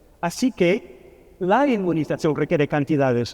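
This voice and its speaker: A man is speaking. He has a Portuguese accent. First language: Portuguese (speaking Spanish). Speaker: pharmacy professor. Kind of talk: lecture. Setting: conference talk.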